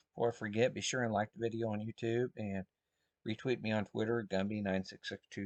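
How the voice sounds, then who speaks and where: A soft-spoken man's fairly low voice at a moderate pace with ordinary pitch variation, in a dry, close sound with no echo and a quiet background. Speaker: market trader. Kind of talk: tutorial.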